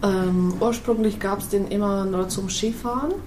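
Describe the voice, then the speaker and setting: Audible room echo and noticeable background noise are present. Through them, a woman talks with ordinary pitch variation. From Slovakia, Low Tatras village. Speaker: restaurant owner. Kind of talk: casual interview. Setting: restaurant.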